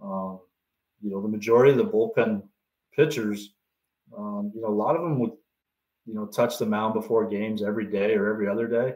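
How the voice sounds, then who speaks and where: A man with a Canadian accent and fairly low pitch talks at a fairly quick pace with fairly even intonation, taking long, frequent pauses. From Canada. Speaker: baseball pitching coach. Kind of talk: podcast interview. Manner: halting, many fillers.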